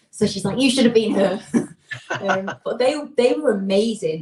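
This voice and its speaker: Her pitch sits fairly high, with ordinary variation. A woman in a Lancashire accent talks at a moderate pace. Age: 20s. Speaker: singer. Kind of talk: casual chat. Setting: live stream.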